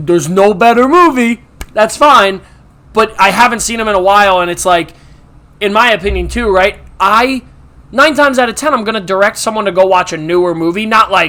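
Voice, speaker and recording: A man with an American accent speaks in a raised, projected voice at a fairly quick pace, his tone animated, bright and sharp. His pitch sits high, with ordinary pitch variation. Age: 20s. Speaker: movie podcast host. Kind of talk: casual chat.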